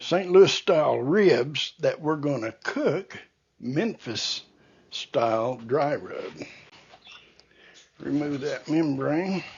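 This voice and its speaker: A man speaks at a very slow pace with long, frequent pauses. His voice is fairly high-pitched and somewhat breathy. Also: lively intonation. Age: 70s. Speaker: barbecue cooking youtuber. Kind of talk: cooking tutorial. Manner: casual, unhurried.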